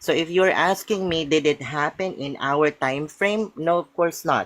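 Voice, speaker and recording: The speaker has a non-native accent and talks at a moderate pace. There are hardly any pauses. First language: not English. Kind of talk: heated debate. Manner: halting, hesitant.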